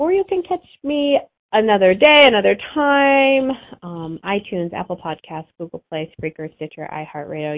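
This woman's voice is medium in pitch. It swings very widely up and down. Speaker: animal chiropractor and radio host. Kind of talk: radio show monologue.

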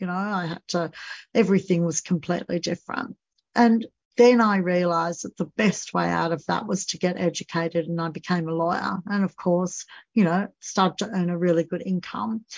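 With an Australian accent, a woman speaks at a fairly quick pace in a fairly low voice with fairly even intonation. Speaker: podcast host and financial coach. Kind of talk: solo podcast monologue. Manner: frequent fillers, um and you know.

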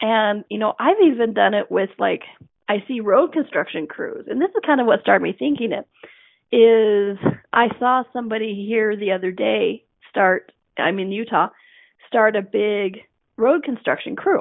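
The pace is moderate, with ordinary pitch variation. It is a plain, everyday voice. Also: woman, fairly high pitch for a woman. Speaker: radio show host and body coach. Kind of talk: solo radio talk. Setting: radio studio.

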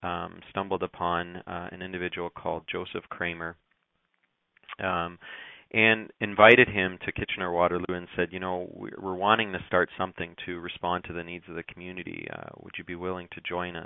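The speaker has a Canadian accent and a moderate pace. The intonation is monotone and flat, with big swings in loudness. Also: man, very deep, low pitch for a man. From Canada, immigrated from Russia at age seven. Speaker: charity executive director. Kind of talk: radio interview.

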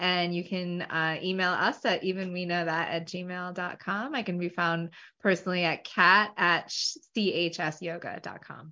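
With an American accent, a woman speaks in an unremarkable speaking voice, fairly low in pitch, at a fairly slow pace with fairly even intonation and hardly any pauses. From Long Island, New York. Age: 40s. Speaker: podcast co-host, energy healer. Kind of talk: casual chat.

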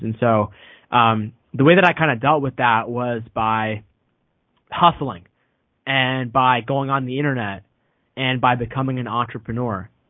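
With fairly even intonation, a man talks at medium pitch in a plain, everyday voice. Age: 20s. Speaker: podcast host and author. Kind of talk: interview conversation.

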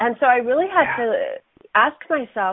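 A woman talks at a moderate pace. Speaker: nutrition and digestive wellness business owner. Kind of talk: casual interview. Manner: animated.

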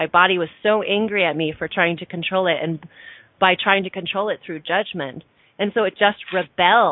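This woman talks at a medium pitch and a moderate pace. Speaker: radio host. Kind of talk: casual chat. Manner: animated.

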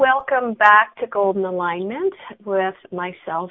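A woman at a fairly slow pace, medium in pitch, in a plain, everyday voice. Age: 60s. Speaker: radio host and coach. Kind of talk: casual interview chat. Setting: radio show.

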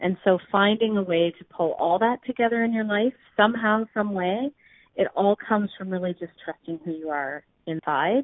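This is a woman with an ordinary speaking voice at a medium pitch. She keeps a moderate pace with ordinary pitch variation. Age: 40s. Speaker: business coach and community founder. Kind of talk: casual interview.

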